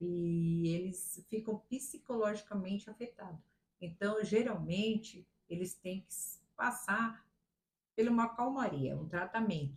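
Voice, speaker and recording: Her voice is somewhat breathy, with big swings in loudness. The woman speaks at a very slow pace. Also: medium pitch for a woman, ordinary pitch variation. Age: 60s. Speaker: retired teacher. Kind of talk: interview. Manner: halting.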